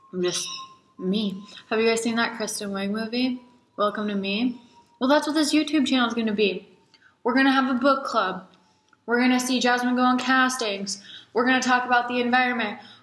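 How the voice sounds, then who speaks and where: A woman with an American accent speaks at a high pitch and a fairly quick pace, with fairly even intonation. Long, frequent pauses break up her speech, and audible room echo surrounds it. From Alaska. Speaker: model and vlogger. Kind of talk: casual vlog monologue. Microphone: poor quality camera.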